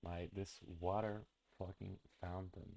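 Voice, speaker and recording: A man with a non-native accent at a very slow pace, his very deep, low voice dark and mellow, his intonation monotone and flat. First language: not English. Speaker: streamer. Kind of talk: live stream reaction commentary. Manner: halting, many fillers and restarts.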